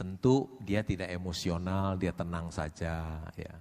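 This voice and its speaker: A man's very deep, low voice at a fairly slow pace, on a very clean recording with a silent background. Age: 60s. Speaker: stock investor. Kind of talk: seminar interview.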